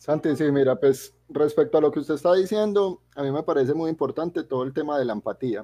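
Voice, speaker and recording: A man with a dark, mellow tone speaks with hardly any pauses, the sound dry and close with no echo over a quiet background. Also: fairly high pitch for a man, ordinary pitch variation, fairly quick pace. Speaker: podcast co-host. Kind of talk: casual chat.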